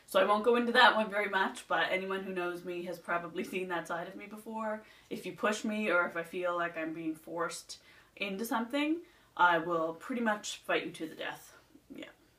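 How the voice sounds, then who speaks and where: A woman talks at a moderate pace with a medium pitch and ordinary pitch variation. Her loudness swings widely. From Nova Scotia, Canada. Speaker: beauty vlogger. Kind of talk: casual chat.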